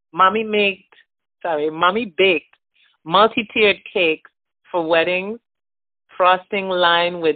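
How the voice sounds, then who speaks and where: Fairly slow, fairly low-pitched speech from a woman, a normal speaking voice with fairly even intonation. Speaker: storyteller sharing a holiday memory. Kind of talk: reading aloud a written memoir.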